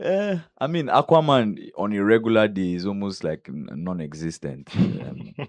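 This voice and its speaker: His pitch is fairly low, and a man swings it very widely. He keeps a moderate pace with hardly any pauses. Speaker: content creator and actor. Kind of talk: casual interview. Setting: studio.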